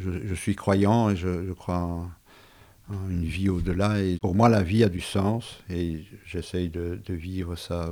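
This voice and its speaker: In a dark, mellow tone, a man speaks very slowly in a very deep, low pitch with fairly even intonation. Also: very clean recording, silent background. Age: 70s. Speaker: retired civil servant, heart patient. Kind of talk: personal testimony. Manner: halting, with repetitions.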